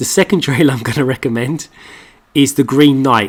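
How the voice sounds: Using a put-on character voice, a man talks at a moderate pace, hoarse and medium in pitch, with ordinary pitch variation.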